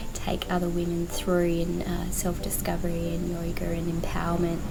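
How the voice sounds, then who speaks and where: The speech comes at a fairly quick pace with audible room echo and noticeable background noise. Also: woman. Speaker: travel vlogger. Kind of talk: casual vlog. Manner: loud.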